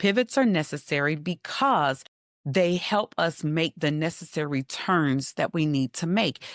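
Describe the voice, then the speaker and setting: In a plain, everyday voice, a woman with an American accent talks with lively intonation, the sound dry and close with no echo and the background quiet. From Western North Carolina. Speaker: life coach. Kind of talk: podcast interview.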